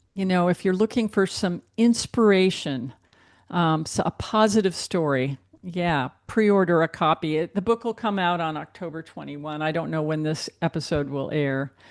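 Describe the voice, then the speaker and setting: A woman with a normal speaking voice and a fairly low pitch talks at a moderate pace with ordinary pitch variation. The sound is dry and close with no echo, over a quiet background. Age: 60s. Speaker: book editor and author. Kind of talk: interview.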